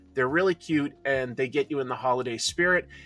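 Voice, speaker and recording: Music plays in the background as a man speaks with a fairly high pitch and ordinary pitch variation, in a dry, close sound with no echo. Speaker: comics commentator. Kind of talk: recorded review segment.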